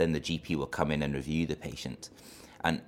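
A man talks at a very fast pace in a very deep, low voice with vocal fry. His intonation stays fairly even. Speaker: trainee family doctor. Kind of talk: interview.

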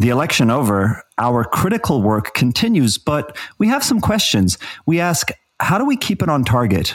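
Keeping very even loudness at a moderate pace, a man speaks at a fairly high pitch with very wide pitch swings. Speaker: podcast host. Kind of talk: scripted news-style summary and discussion.

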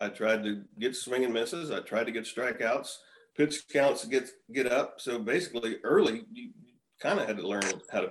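A man with an American accent talks at a moderate pace. His loudness swings widely. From Texas, Houston. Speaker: retired baseball pitcher. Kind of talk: casual chat.

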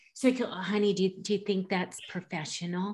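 In an American accent, a woman speaks at medium pitch. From US Pacific Northwest, Washington. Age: 50s. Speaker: podcast host. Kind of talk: casual interview chat. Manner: animated.

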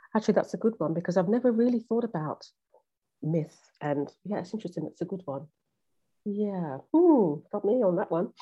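A woman with a British accent speaks at a fairly quick pace but leaves long, frequent pauses. Her medium-pitched voice has a dark, mellow tone and lively intonation. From UK. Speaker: relationship coach and therapist. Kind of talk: podcast interview. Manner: halting, many fillers and repetitions.

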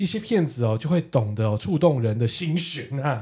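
The voice has an animated tone with very wide pitch swings. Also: man. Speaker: podcast co-host. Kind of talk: casual chat.

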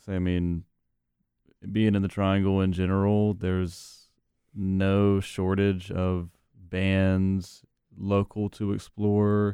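In a very clean recording with a silent background, a man with an American accent speaks very slowly in a very deep, low pitch and a dark, mellow tone, his intonation monotone and flat, with long, frequent pauses. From North Carolina, Wilson. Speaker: musician, bassist. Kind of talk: casual interview. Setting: radio studio.

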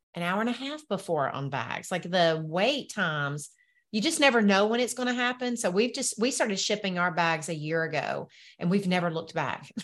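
Speaking at a moderate pace in a Southern US accent, a woman with a medium pitch uses lively intonation against a quiet background. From US South. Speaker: entrepreneur and business coach. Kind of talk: casual interview chat.

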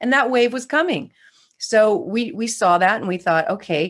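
A woman speaks at a moderate pace in an ordinary speaking voice with an American accent and ordinary pitch variation. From California. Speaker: real estate investor and educator. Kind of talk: interview.

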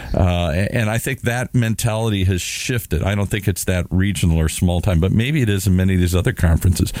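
With an American accent, a man speaks at a fairly quick pace in a very deep, low pitch, with ordinary pitch variation and very even loudness. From US Midwest, Minnesota. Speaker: radio show co-host. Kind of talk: casual chat.

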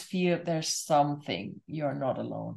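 This is a plain, everyday voice with ordinary pitch variation. It moves at a fairly slow pace over a quiet background. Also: woman. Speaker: podcast host and spiritual coach. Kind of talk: interview, warm conversation. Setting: video call.

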